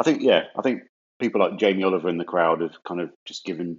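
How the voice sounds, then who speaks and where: A man with an English accent and a very deep, low pitch. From England. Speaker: podcast co-host. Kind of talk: casual chat.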